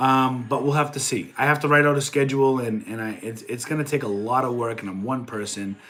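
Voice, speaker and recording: Noticeable background noise surrounds a man with a Boston accent and a medium-pitched voice. His tone is animated, with ordinary pitch variation. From New England (Boston area). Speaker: online reseller and streamer. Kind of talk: live stream chat.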